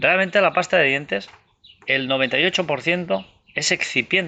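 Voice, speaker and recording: The intonation is lively and the pace moderate. Loudness stays very even throughout. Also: man, high pitch for a man. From Andorra. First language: Catalan (speaking Spanish). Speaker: author and UFO researcher. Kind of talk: interview. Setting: outdoors in the mountains.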